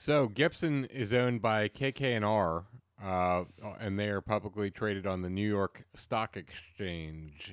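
Speaking with an American accent at a fairly slow pace, a man has a plain, everyday voice, fairly low in pitch, with ordinary pitch variation. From central Pennsylvania. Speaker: podcast co-host. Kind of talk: reading aloud; casual chat.

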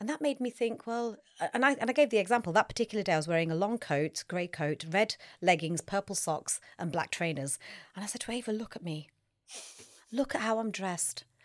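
In a very clean recording with a silent background, an unremarkable speaking voice moves at a fairly quick pace with lively intonation. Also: woman, medium pitch for a woman. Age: 50s. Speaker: nutritionist and personal trainer. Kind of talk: casual chat.

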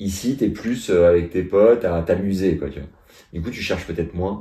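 A man's dark, mellow voice at a moderate pace, with ordinary pitch variation, in a very clean recording over a silent background. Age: 30s. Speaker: podcast host. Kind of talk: casual chat.

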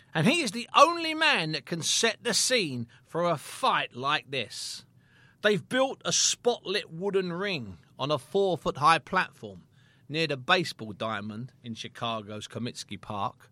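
On a very clean recording with a silent background and a dry, close sound with no echo, a man with a British accent speaks fairly slowly at a fairly high pitch, his bright, sharp tone moving through very wide pitch swings. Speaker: boxing historian and podcast narrator. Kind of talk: sports documentary narration. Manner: measured, storytelling, vivid scene-setting.

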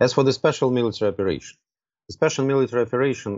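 Against a quiet background, a man with a Russian accent speaks with ordinary pitch variation. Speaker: diplomat. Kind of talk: political interview. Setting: remote call. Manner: hesitant, many filler sounds.

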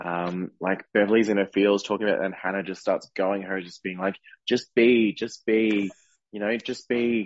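A plain, everyday voice with fairly even intonation and a moderate pace. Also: man, fairly low pitch for a man. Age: 30s. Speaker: podcast co-host and drag performer. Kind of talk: casual chat.

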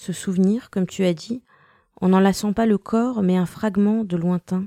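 With a dark, mellow tone and fairly even intonation, a woman speaks at medium pitch and a fairly slow pace in a very clean recording with a silent background. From Western Europe, born in Russia. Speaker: poet and translator. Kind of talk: interview.

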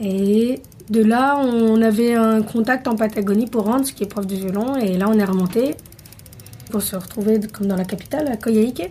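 Here a woman speaks in a normal speaking voice at a moderate pace. Her pitch is fairly high, with ordinary variation. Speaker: returning expat cyclist. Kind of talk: interview.

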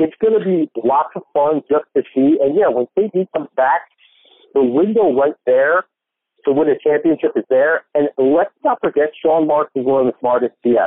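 With an American accent and a plain, everyday voice, a man speaks at a moderate pace and fairly high pitch, with ordinary pitch variation and very even loudness. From New Jersey. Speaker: sports podcast host, guest. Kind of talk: casual interview chat. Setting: phone call.

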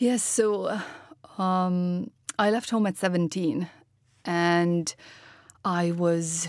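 Speaking with a non-native accent, a woman has a fairly low pitch and ordinary pitch variation. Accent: foreign, noticeably non-local. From Romania. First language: Romanian. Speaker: health startup founder and chief executive. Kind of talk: interview. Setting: studio.

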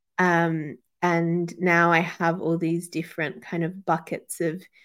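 The recording is very clean with a silent background, and a woman speaks in a fairly low voice. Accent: Australian. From Western Sydney, Australia. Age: 30s. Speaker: podcast co-host and yoga teacher. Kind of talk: casual interview chat. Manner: hesitant, many fillers.

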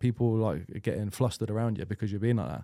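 Speaking at a very fast pace with an English accent, a man has a medium pitch, a dark, mellow tone and fairly even intonation, in a very clean, dry, close recording with no echo and a silent background. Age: 30s. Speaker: professional football goalkeeper. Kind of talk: casual chat.

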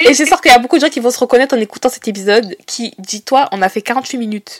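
The speech moves at a fairly quick pace. The sound is dry and close, with no echo. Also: woman. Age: 20s. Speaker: podcast host. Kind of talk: casual chat.

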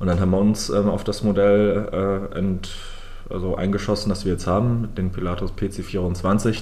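A man with a fairly low-pitched voice talks in a room where echo is audible. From southern Germany, Lake Constance. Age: 20s. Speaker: airline founder and CEO. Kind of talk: interview.

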